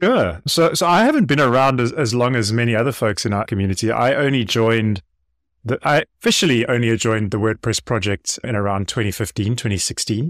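Delivered at a fairly quick pace, this is an ordinary speaking voice with ordinary pitch variation. The sound is dry and close, with no echo. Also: man, medium pitch for a man. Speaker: open-source contributor and educator. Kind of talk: podcast interview. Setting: remote call, early morning for him.

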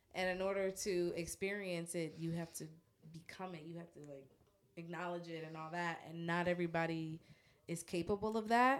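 A woman talks at a moderate pace in an ordinary speaking voice. Her pitch is fairly low and her intonation fairly even. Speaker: podcast guest. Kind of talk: casual chat. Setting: studio.

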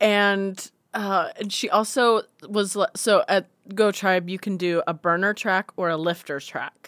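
At a fairly slow pace, a woman with an unremarkable speaking voice talks at a medium pitch and fairly even intonation, the sound dry and close with no echo. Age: 30s. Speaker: comedian and musician. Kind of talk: casual chat.

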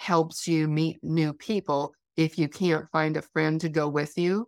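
A woman with an American accent speaks in a very deep, low pitch at a very slow pace. Her intonation is monotone and flat, on a very clean recording with a silent background. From Wyoming, US. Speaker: costume designer and event planner. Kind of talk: casual interview chat.

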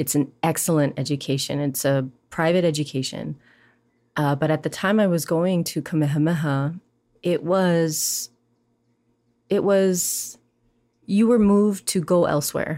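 In a Hawaiian accent, a woman speaks fairly slowly with long, frequent pauses, her very deep, low pitch showing ordinary variation and a dark, mellow tone at very even loudness, on a very clean recording with a silent background. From Hawaii, Maui. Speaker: poet and educator. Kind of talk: interview conversation.

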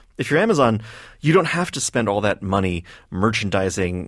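A man with a normal speaking voice talks at a fairly quick pace, fairly low in pitch. His pitch variation is ordinary, and the recording is very clean with a silent background. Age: 30s. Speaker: magazine writer and editor. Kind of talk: radio interview. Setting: studio.

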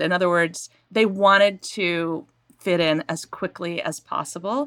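A woman's medium-pitched, unremarkable speaking voice with an American accent, at a fairly slow pace, on a very clean recording with a silent background. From Maine, US. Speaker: novelist. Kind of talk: interview. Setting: home recording.

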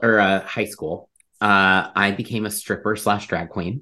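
A man talks at a fairly slow pace in a bright, sharp tone. The background is quiet. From Ohio, US Midwest. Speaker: psychic medium. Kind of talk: casual chat.

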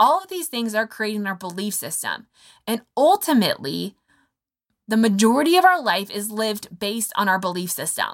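In a very clean recording with a silent background, a woman speaks in an animated tone at a fairly high pitch with very wide pitch swings. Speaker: health podcast host. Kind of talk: solo podcast teaching. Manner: fast.

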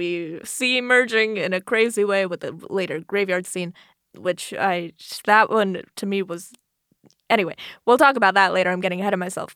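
A woman with an American accent has a plain, everyday voice at medium pitch, speaking at a moderate pace with fairly even intonation. The recording is very clean, with a silent background. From Florida. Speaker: podcast co-host. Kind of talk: casual chat.

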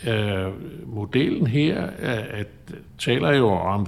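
This man's voice is fairly low in pitch. It varies in pitch in an ordinary way. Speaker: chartered accountant and adjunct professor. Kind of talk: interview. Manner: halting.

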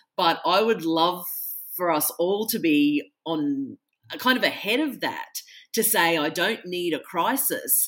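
A woman speaks with a fairly low pitch. Her intonation is lively. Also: very clean recording, silent background. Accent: Australian. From Australia. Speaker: author. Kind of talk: casual interview.

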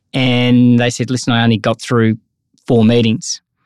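Recorded very cleanly against a silent background, a man speaks at a medium pitch in an Australian accent. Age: 50s. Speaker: sales coach and author. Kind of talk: casual interview chat.

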